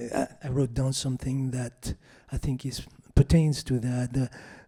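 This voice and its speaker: Somewhat breathy and dark, mellow in tone, a man speaks at a medium pitch. His intonation is monotone and flat. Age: 60s. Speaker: music professor. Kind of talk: panel feedback to a student. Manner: hesitant, many fillers.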